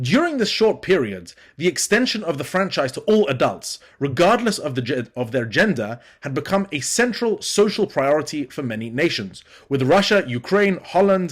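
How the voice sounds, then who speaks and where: A man is speaking. His pitch swings very widely. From Britain. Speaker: academic lecturer, student. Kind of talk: conference lecture. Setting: remote pre-recorded presentation. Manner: formal.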